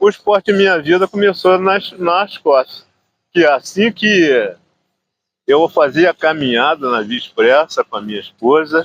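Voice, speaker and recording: His pitch sits high for a man. The intonation rises and falls in a lively way. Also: fairly slow pace, dry, close sound with no echo. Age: 80s+. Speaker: veteran amateur runner. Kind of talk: interview.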